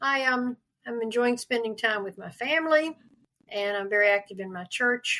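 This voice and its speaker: The speaker has a Southern US accent and ordinary pitch variation. The pace is fairly slow. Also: woman. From US South, North Carolina (Durham). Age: 80s+. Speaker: literacy advocate. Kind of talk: interview.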